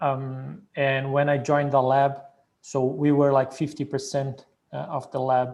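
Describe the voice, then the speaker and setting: A man with a Portuguese accent speaks at medium pitch in a monotone, flat way. His pace is fairly slow, and the background is quiet. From Brazil. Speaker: PhD program alumnus. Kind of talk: Q&A panel answer. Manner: hesitant, many fillers.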